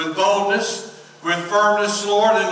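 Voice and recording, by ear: Someone is reading aloud in a natural voice. Their intonation holds fairly even.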